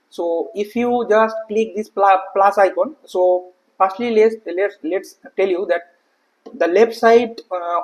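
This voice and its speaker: Speaking very slowly, a man uses a high pitch with ordinary pitch variation. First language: not English. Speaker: software tutorial creator. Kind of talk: tutorial. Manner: hesitant, many filler uhs.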